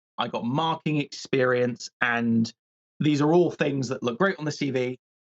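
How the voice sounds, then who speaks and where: Speaking in a British accent, a man shows ordinary pitch variation. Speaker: PhD candidate in biological anthropology. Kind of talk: casual interview chat. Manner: fast; projecting, energetic.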